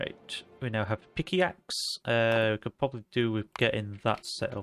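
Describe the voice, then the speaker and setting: With music in the background, a man talks in a Yorkshire accent with ordinary pitch variation. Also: medium pitch for a man, moderate pace. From Yorkshire, northern England. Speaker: video game streamer. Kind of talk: casual live-stream chat while gaming. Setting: live stream.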